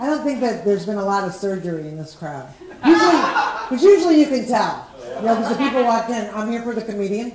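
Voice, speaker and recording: Amid loud background noise, a woman races along very fast at a fairly high pitch with very wide pitch swings. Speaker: stand-up comedian. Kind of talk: stand-up comedy set. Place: stage.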